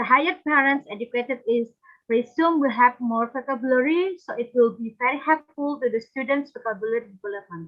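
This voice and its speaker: A woman with a high pitch and an Indonesian accent speaks at a fairly quick pace with ordinary pitch variation. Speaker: conference presenter. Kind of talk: academic presentation. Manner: halting.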